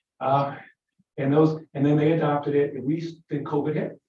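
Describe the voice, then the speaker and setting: A man speaks with a fairly high voice. It sounds somewhat breathy. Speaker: legislator. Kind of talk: committee briefing. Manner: fast.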